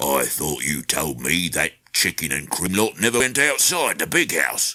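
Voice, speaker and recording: A man puts on a gruff, growling character voice at a very deep, low pitch. He delivers it at a moderate pace. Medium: read story. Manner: growling, gruff.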